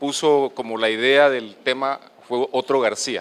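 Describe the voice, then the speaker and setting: With fairly even intonation, the male speaker keeps to a medium pitch. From Colombian Caribbean coast. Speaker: doctor. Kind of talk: lecture. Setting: auditorium with audience.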